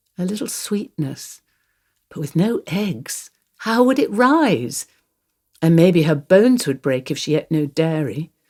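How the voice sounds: A woman uses a put-on character voice, low-pitched with a dark, mellow tone and lively intonation. She speaks slowly in a very clean recording with a silent background.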